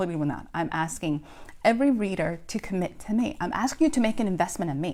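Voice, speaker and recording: A woman with a Spanish accent talks at a fairly quick pace in an animated tone with very wide pitch swings. The recording is very clean, with a silent background. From Dominican Republic. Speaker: indie author and motivational speaker. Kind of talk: casual motivational talk.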